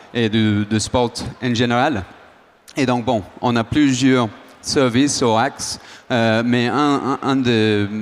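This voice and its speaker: A man with an Australian accent speaks very slowly at a medium pitch and with fairly even intonation. Noticeable background noise runs behind him. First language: English (speaking French). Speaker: startup founder. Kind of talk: panel discussion.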